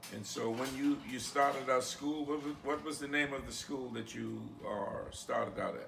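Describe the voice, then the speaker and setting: Amid audible room echo and noticeable background noise, a man speaks at a moderate pace. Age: 60s. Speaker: interviewer and oral historian. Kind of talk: interview. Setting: on location in South Caicos.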